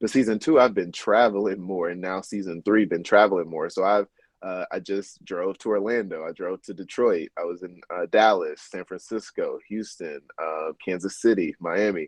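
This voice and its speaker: A fairly low-pitched man with a Southern US accent at a moderate pace, with hardly any pauses. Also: ordinary pitch variation. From US South, North Little Rock, Arkansas. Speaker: lawyer and podcast host. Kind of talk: interview conversation.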